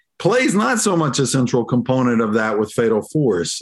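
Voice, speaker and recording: Lively intonation in a Southern US accent. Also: man. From US South. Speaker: professor and awards executive director. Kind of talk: interview.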